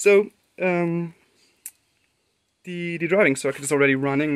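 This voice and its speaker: With a non-native accent, a man is speaking. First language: German. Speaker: electronics hobbyist. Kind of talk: unscripted technical demo talk to camera. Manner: hesitant, many filler words. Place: workshop. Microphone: phone near.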